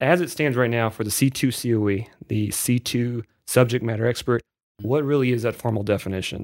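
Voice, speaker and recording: In a very clean recording with a silent background, a man with an unremarkable speaking voice talks at a fairly quick pace, medium in pitch, with fairly even intonation. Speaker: podcast host. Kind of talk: interview.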